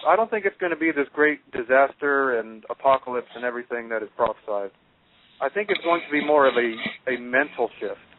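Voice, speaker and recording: Using an ordinary speaking voice, a man speaks at a fairly quick pace with fairly high pitch and lively intonation. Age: young. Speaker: spiritual channel creator. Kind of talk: radio interview. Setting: phone call.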